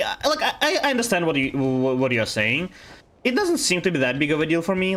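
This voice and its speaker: With a Russian accent, the speaker's pitch swings very widely. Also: man. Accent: Russian accent, very apparent. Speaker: video game streamer. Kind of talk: casual live-stream chat. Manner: hesitant, many fillers and restarts.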